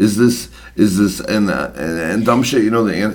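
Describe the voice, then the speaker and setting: A man speaks with lively intonation at a moderate pace and a fairly low pitch. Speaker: podcast co-host. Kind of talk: casual chat. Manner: loud.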